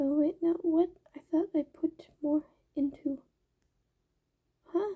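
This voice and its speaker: Very slowly, a soft-spoken voice delivers the words. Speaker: amateur novelist vlogger. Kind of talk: casual video diary. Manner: halting.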